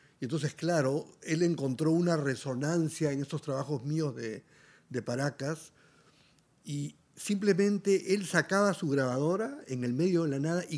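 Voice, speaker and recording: The man has an ordinary speaking voice, fairly high in pitch with ordinary pitch variation. He goes at a fairly slow pace on a very clean recording with a silent background. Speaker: musician and artist. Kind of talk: interview conversation.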